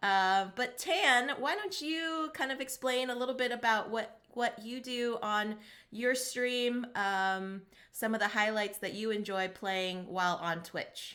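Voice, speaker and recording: Fairly slow and fairly high in pitch, a woman's voice has a bright, sharp tone and lively intonation. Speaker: board game streamer. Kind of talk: casual chat. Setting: live stream. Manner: hesitant with frequent fillers.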